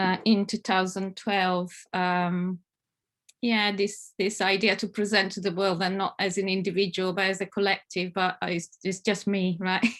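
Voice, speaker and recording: At a fairly slow pace, a woman with an Italian accent speaks in a flat monotone with medium pitch against a quiet background. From Italy, Italian Alps. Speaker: family therapist. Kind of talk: conference presentation. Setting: online conference. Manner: hesitant, many fillers.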